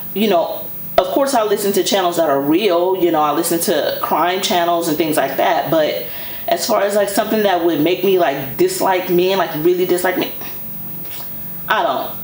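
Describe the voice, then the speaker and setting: Amid noticeable background noise and audible room echo, a woman at medium pitch talks at a moderate pace, her pitch variation ordinary and her loudness very even. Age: 40s. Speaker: fashion YouTuber. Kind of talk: casual chat. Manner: animated.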